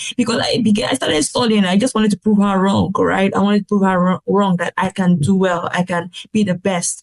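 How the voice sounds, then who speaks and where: A woman with a medium pitch and a somewhat breathy voice talks at a fairly quick pace with hardly any pauses, very even loudness and ordinary pitch variation, in a dry, close sound with no echo. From Nigeria. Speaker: pharmacist turned healthcare business consultant. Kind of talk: podcast interview answer.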